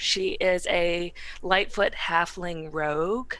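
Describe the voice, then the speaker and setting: In a Southern US accent, a woman speaks in a medium pitch with a bright, sharp tone. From US South. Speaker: tabletop game player. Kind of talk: casual chat.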